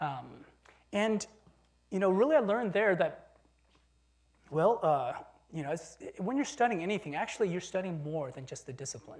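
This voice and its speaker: A high-pitched man speaks at a moderate pace with long, frequent pauses, very wide pitch swings and big swings in loudness. Audible room echo surrounds his voice. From China (Beijing), moved to US at nine. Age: 40s. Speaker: professor and designer. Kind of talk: lecture. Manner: casual, with hesitations.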